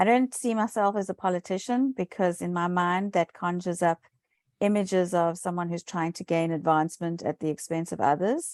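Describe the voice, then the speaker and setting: In a very clean recording with a silent background, a woman with a South African accent speaks at a fairly quick pace and a fairly low pitch. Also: ordinary pitch variation, dry, close sound with no echo. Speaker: municipal election candidate. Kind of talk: interview.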